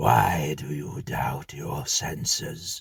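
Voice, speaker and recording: A man uses a raspy put-on character voice pitched very deep and low. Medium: read story. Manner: solemn, terse.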